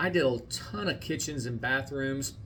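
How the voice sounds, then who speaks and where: A man's medium-pitched voice moves at a moderate pace, its intonation fairly even. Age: 60s. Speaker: real estate agent and podcast host. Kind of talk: podcast monologue. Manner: unscripted, conversational with some hesitations.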